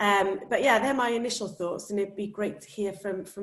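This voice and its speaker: A woman speaks with a Welsh accent at a moderate pace. Her intonation stays fairly even. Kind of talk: panel discussion.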